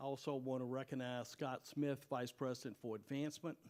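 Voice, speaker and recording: A man talks at a moderate pace in a medium-pitched voice with fairly even intonation. It is a normal speaking voice. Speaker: university president. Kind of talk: presentation to city commission. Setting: public meeting at a university.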